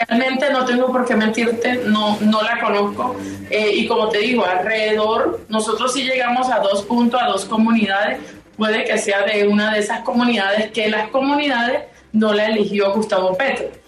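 Over noticeable background noise and audible room echo, a woman speaks at a moderate pace with very even loudness and fairly even intonation. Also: fairly high pitch for a woman. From La Guajira, Colombia (Riohacha). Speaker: senator. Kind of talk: radio interview. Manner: halting.

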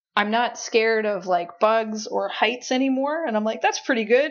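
Through noticeable background noise, a woman with a fairly high voice talks at a fairly quick pace with ordinary pitch variation. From Newfoundland, Canada. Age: 30s. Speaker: comedian. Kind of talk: casual interview chat.

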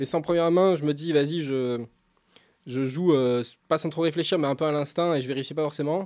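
A man with a plain, everyday voice and fairly high pitch talks at a fairly quick pace with fairly even intonation, on a very clean recording with a silent background. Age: 30s. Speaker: professional poker player. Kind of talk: casual chat.

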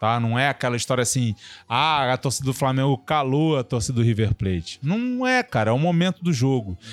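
A man talks at a fairly quick pace and a fairly high pitch with very wide pitch swings, in a dry, close sound with no echo. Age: 40s. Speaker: journalist and former doctor. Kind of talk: casual chat.

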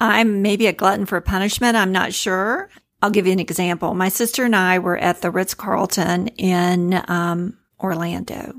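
Recorded very cleanly over a silent background, an unremarkable speaking voice moves at a moderate pace with fairly even intonation. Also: woman, medium pitch for a woman. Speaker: cake designer. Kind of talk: interview chat.

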